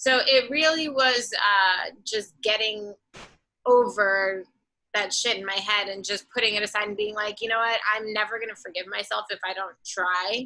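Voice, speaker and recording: A woman with a strong Boston accent speaks at a fairly high pitch in a bright, sharp tone. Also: ordinary pitch variation, moderate pace. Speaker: singer-songwriter and artist. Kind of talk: casual interview chat.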